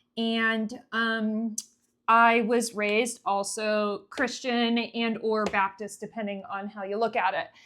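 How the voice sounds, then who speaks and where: With a slight New England accent, a woman speaks very slowly in a monotone, flat intonation at a fairly high pitch for a woman. Music plays in the background. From New England, US (Connecticut). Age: 20s. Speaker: vlogger. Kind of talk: casual monologue.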